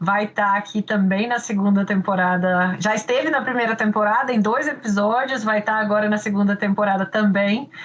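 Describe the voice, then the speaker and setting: A strong Minas Gerais accent from a woman at fairly high pitch, fairly even intonation and very even loudness, at a moderate pace with hardly any pauses, over noticeable background noise. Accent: Minas Gerais accent, stronger. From Minas Gerais, Brazil. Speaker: podcast host, law professor. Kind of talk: interview.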